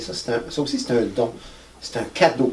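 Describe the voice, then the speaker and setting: A man of medium pitch speaks at a moderate pace over noticeable background noise. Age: 60s. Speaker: musician. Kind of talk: interview. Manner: halting.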